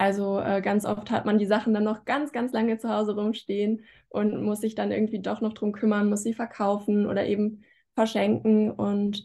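This woman has a fairly high pitch and talks at a moderate pace. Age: 20s. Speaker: student and YouTuber; YouTuber. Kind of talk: casual interview. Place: home room. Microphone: video call.

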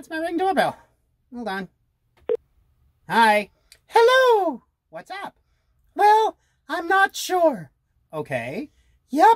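An extremely high-pitched, cartoonish character voice speaks at a very slow pace. Long, frequent pauses break up the delivery. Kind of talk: comedy sketch. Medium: puppet.

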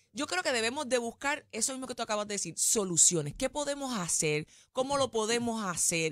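Against a quiet background, a woman speaks at a fairly quick pace. Her fairly high voice makes very wide pitch swings. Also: dry sound with no echo. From Puerto Rico. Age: young. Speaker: TV panelist. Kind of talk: interview. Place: studio. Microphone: studio mic.

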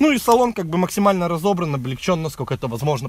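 A man speaks with very wide pitch swings. The sound is dry with no echo. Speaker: car vlogger. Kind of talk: casual car review walkthrough. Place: open country. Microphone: phone near.

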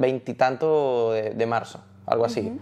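The man speaks at a moderate pace and a medium pitch, in a dark, mellow tone. His pitch varies in an ordinary way against a quiet background. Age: 30s. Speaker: salsa singer; interview guest. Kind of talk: casual chat. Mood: relaxed, animated storytelling. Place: home room. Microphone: lapel.

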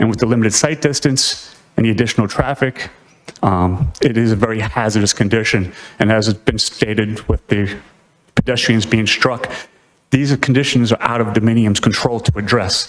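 An ordinary speaking voice, this man has a medium pitch and an American accent. He keeps a moderate pace with ordinary pitch variation and very even loudness. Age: 60s. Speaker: retired police officer, public commenter. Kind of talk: public comment at a town meeting. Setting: town planning board meeting.

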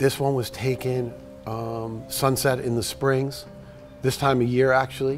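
A man speaks at a fairly slow pace with a New York accent, his intonation flat and monotone. Faint music plays in the background. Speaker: surf photographer. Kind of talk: casual talk to camera. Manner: slight edge, attitude. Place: workshop.

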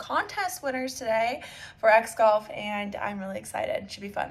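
A woman at a moderate pace, her intonation fairly even. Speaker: golf content creator. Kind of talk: casual vlog chat. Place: home room. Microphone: phone near.

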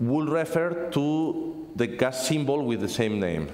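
A man with lively intonation, in audible room echo. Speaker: conference speaker, software developer; conference presenter. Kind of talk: technical conference talk. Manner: fast; halting, repeats words. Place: classroom.

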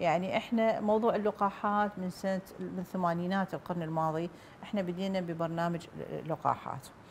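A woman's somewhat breathy voice with an Iraqi accent, fairly even intonation and a moderate pace, over light background noise. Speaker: doctor, public health official; guest. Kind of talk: TV interview. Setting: studio. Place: studio.

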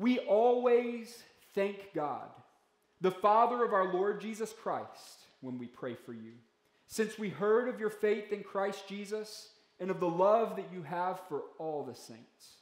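A man's high-pitched voice at a fairly slow pace, with big swings in loudness, ordinary pitch variation and audible room echo. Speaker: pastor. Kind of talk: sermon. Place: church. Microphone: podium.

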